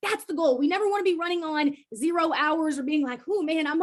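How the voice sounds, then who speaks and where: Her intonation lively, a woman talks with a high pitch. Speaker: student workshop presenter. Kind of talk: virtual workshop presentation. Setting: video call. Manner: fast.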